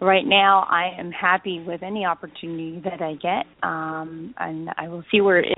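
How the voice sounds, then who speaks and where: A plain, everyday voice with a Canadian accent, moderate pace and ordinary pitch variation. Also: woman. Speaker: actress. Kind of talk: interview. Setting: remote call.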